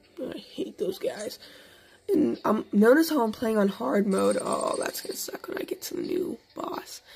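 Over noticeable background noise, a woman speaks in a high pitch. Her pitch swings very widely. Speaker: gaming youtuber. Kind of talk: gameplay commentary. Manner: hesitant, many fillers.

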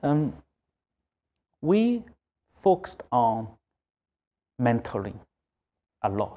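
A dark, mellow voice with a Chinese accent, moving at a very slow pace. Its pitch swings very widely. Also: man, medium pitch for a man. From China. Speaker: accounting firm executive. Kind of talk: interview. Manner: halting. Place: office. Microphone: lapel.

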